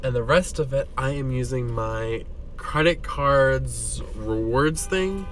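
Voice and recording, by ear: A man talks at a slow pace. His pitch varies in an ordinary way. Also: medium pitch for a man.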